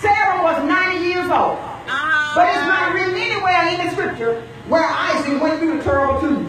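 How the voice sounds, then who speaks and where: Over loud background noise and audible room echo, a woman talks with hardly any pauses. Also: moderate pace. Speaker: church overseer / preacher. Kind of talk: sermon delivered to a church congregation. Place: tent. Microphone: camera far.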